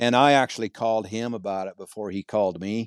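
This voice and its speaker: A man with a fairly low pitch speaks in fairly even intonation, the sound dry and close with no echo. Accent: rural western US. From Montana. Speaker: cowboy and horsemanship clinician. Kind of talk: casual interview chat.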